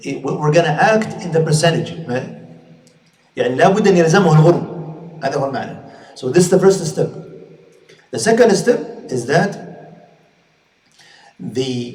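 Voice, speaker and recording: There is audible room echo around a man with a high pitch and lively intonation. He leaves long, frequent pauses. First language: Arabic. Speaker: Islamic scholar and teacher. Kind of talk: lecture. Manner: halting, with frequent repetitions and fillers.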